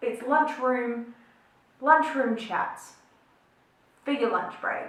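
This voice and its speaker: A woman talks with an Australian accent. Audible room echo surrounds her voice. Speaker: beauty and chat vlogger. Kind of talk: casual chat while doing makeup. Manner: chatty, filler-heavy.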